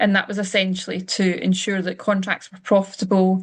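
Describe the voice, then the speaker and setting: In a Scottish accent, a woman with a medium pitch and a somewhat breathy voice talks at a fairly quick pace. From Scotland. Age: 30s. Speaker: finance coach. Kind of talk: webinar presentation. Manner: casual, with frequent fillers.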